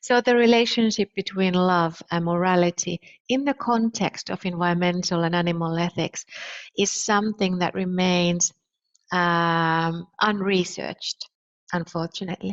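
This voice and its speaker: Speaking with a Finnish accent, a woman has a fairly low pitch. Her intonation is fairly even and her pace moderate. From Finland. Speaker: philosopher. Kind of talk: lecture. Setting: online conference.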